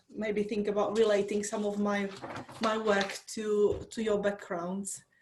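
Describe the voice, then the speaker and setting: A woman with a Czech accent and monotone, flat intonation. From Czech Republic. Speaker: university lecturer. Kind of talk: online workshop talk.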